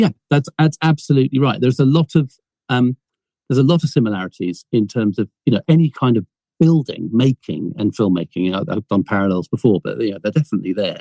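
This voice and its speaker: A man at a medium pitch speaks very fast with lively intonation in a dark, mellow tone, recorded dry and close with no echo. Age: 60s. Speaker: film producer and inventor. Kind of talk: podcast interview. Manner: halting, many repetitions.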